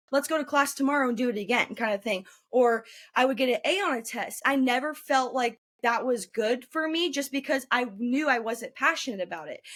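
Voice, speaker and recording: A woman with an American accent speaks loudly and at a fairly quick pace. Her pitch sits high. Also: ordinary pitch variation, very clean recording, silent background. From northern California, Roseville. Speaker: journalism student. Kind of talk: interview. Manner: fast.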